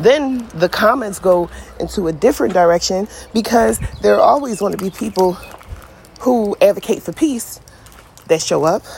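Against noticeable background noise, a woman with an American accent speaks in an animated, passionate tone, with long, frequent pauses. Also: medium pitch for a woman, lively intonation, moderate pace. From Philadelphia, US. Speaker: podcaster. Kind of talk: casual rant. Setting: outdoors, in a hammock. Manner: animated, passionate, blunt.

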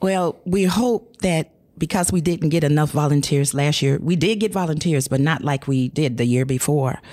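A dark, mellow tone in an American accent, at a moderate pace with hardly any pauses, very even loudness and ordinary pitch variation, on a very clean recording with a silent background. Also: woman, very deep, low pitch for a woman. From North St. Louis, Missouri. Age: 60s. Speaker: urban farm manager. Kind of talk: casual chat.

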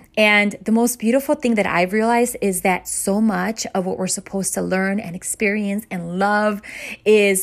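A woman with a plain, everyday voice, medium in pitch, at a moderate pace with ordinary pitch variation. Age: 40s. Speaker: motivational podcast host. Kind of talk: inspirational monologue.

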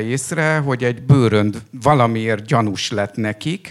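The speaker is a man with ordinary pitch variation. He talks at a very slow pace. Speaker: author who interviewed the poet. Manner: halting, with many hesitations.

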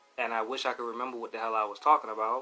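Music plays in the background. A man with a medium pitch talks at a fairly quick pace. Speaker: podcast host doing a live stream. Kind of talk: casual rant, live talk show. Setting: live stream. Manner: casual, profane, animated.

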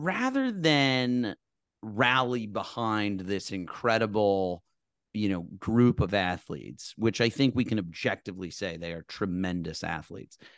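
Against a quiet background, a man with a fairly low pitch speaks at a fairly slow pace, with ordinary pitch variation. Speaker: podcast host. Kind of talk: casual chat. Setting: video call. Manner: animated, does voices.

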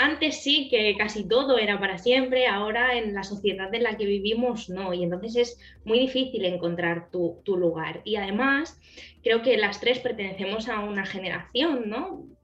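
A woman with a fairly high pitch speaks at a moderate pace over noticeable background noise. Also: ordinary pitch variation. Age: 20s. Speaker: psychologist. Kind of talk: interview. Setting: video call.

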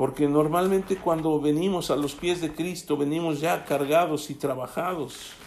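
Amid noticeable background noise, a man with a fairly high pitch speaks at a moderate pace and with fairly even intonation. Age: 60s. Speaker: pastor. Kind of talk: sermon.

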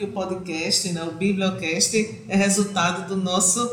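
Medium pitch from a woman, with noticeable background noise and audible room echo. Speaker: librarian podcast host. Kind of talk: podcast interview.

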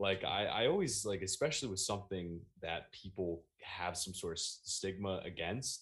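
Speaking with an American accent, a man with a very deep, low pitch talks at a moderate pace with ordinary pitch variation. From New Jersey, Monmouth County. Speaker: meme page creator and podcaster. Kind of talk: casual interview chat.

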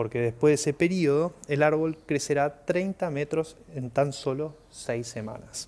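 Speaking in a Rioplatense accent, a man has a fairly high pitch and a dark, mellow tone. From Argentina. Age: 30s. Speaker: podcast host. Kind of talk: casual monologue; storytelling.

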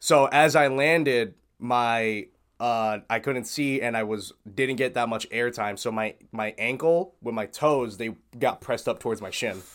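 On a very clean recording with a silent background, a man speaks at a fairly slow pace with an unremarkable speaking voice. His pitch is medium, with ordinary pitch variation. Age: 20s. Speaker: streamer and martial arts tricker. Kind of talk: casual chat.

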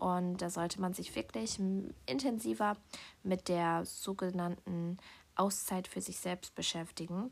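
A woman speaks at a fairly slow pace in a relaxed tone. Her intonation is lively. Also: fairly low pitch for a woman. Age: 20s. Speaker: podcast host. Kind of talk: personal monologue.

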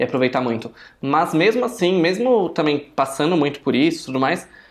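Speech at a fairly quick pace comes on a very clean recording with a silent background. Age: 20s. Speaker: podcast co-host. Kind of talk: casual chat.

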